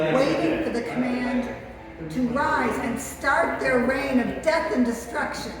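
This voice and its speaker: A high-pitched woman at a fairly slow pace with ordinary pitch variation, with music in the background. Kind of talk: dramatic essay reading. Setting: live event.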